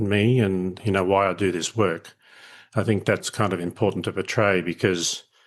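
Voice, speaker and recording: Over a quiet background, a man with an Australian accent speaks at a moderate pace and a fairly low pitch. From Australia, country Queensland. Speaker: leadership educator. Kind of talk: podcast interview. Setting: remote call.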